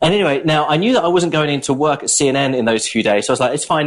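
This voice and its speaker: The man has a British accent. He speaks at a very fast pace. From southern England, Brighton. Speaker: journalist. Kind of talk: casual chat.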